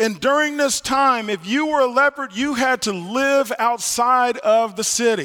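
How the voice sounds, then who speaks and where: This man's voice sits extremely high, with a bright, sharp tone and ordinary pitch variation. He talks fairly slowly in a raised, projected voice, with hardly any pauses. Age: 50s. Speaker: pastor. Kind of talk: sermon. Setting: church. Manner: halting.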